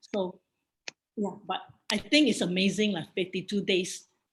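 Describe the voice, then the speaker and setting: A woman talks with a Singaporean accent at medium pitch. Her voice is somewhat breathy, at a moderate pace. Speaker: bible study teacher. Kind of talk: bible study lecture with Q&A.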